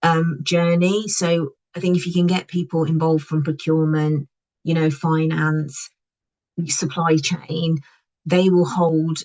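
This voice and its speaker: Speaking at a fairly slow pace, a woman uses a monotone, flat intonation. Her voice is somewhat breathy and very deep and low in pitch. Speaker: packaging compliance consultant. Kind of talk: webinar presentation. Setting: online webinar.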